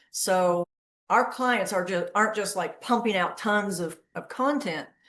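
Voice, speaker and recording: With a North Florida accent, a woman speaks at a medium pitch. Her pace is fairly slow, and her pitch varies in an ordinary way. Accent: Southern US (North Florida). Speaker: agency founder, creative strategist. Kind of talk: podcast interview.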